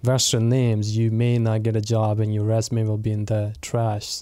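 A man's medium-pitched voice, dark and mellow in tone, at a moderate pace. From Pakistan, Punjab (Multan). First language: Punjabi. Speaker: associate pastor. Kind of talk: casual chat.

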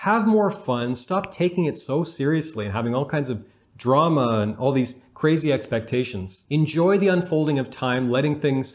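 A man's unremarkable speaking voice, medium in pitch, at a fairly quick pace with lively intonation. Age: 30s. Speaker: relationship coach and YouTuber. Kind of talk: video monologue giving advice.

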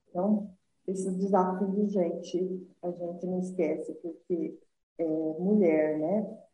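Somewhat breathy, the voice moves at a very slow pace with a monotone, flat intonation. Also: woman, medium pitch for a woman. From southern Minas Gerais, Brazil. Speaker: entrepreneur, lingerie company founder. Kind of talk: interview, life story.

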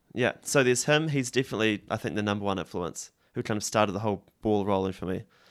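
In a very clean recording with a silent background, a man talks at a very fast pace with a New Zealand accent. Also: ordinary pitch variation. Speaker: musician. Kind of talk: interview.

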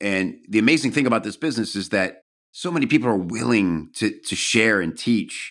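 A man with a normal speaking voice talks fairly quickly at a medium pitch with lively intonation, recorded very cleanly against a silent background. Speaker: podcast host. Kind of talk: casual interview chat. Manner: jokey, friendly.

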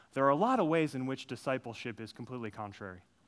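In an American accent, a man speaks very fast with a bright, sharp tone and lively intonation. The recording is very clean with a silent background. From Minnesota, US Midwest. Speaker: executive pastor. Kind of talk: conference breakout talk. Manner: halting, many fillers and restarts.

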